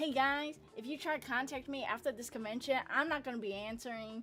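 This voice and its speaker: A woman speaks at a moderate pace in an animated tone with ordinary pitch variation. Music plays in the background. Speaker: streamer and artist. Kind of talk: casual chat. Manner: loud.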